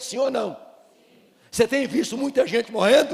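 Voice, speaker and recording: The talking proceeds at a moderate pace. Background music accompanies it. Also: man. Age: 60s. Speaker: pastor. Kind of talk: sermon. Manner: animated.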